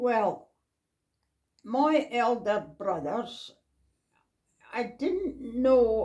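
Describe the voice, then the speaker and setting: With a North East Scottish accent, the speaker uses a dark, mellow tone and lively intonation at a very slow pace. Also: woman. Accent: North East Scottish, Doric. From North East Scotland. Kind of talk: interview answer.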